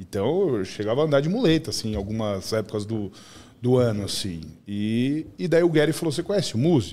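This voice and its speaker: At a fairly quick pace, a man speaks in a dark, mellow tone with very wide pitch swings. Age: 40s. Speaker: podcast guest. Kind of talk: casual chat. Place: studio. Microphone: studio mic.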